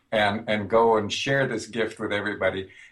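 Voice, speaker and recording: Somewhat breathy, a man with an American accent talks at a moderate pace with ordinary pitch variation. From US Midwest, northern Minnesota. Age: 60s. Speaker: music theory professor. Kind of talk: interview.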